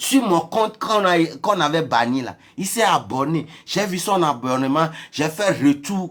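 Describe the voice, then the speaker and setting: This man has a high-pitched voice and lively intonation. He speaks at a fairly slow pace. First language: not French (speaking French). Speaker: social media influencer. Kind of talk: heated rant. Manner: animated.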